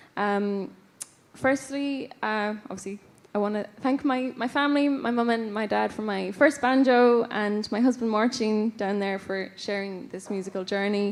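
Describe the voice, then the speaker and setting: This woman speaks with an Irish accent, her fairly high pitch showing ordinary variation. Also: moderate pace. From west of Ireland, County Roscommon. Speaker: folk musician, award winner. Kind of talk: award acceptance speech. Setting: stage with audience. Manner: halting, many fillers.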